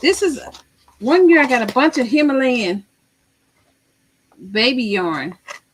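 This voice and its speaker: A loud woman's voice with an American accent, fairly high in pitch, with very wide pitch swings. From Missouri. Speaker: crochet livestreamer. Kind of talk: casual livestream chat.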